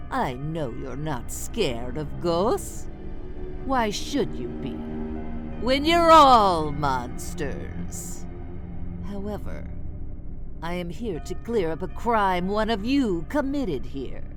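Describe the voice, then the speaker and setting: Loud music plays in the background. Over it, someone uses a put-on character voice at a very slow pace. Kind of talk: spooky party-game hosting. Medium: solo performance. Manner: playful, theatrical.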